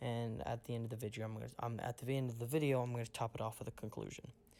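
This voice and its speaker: The speech is quiet. It runs at a very fast pace. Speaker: gaming YouTuber. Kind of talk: casual video commentary. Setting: at home at night. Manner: quiet, hushed; hesitant, many fillers.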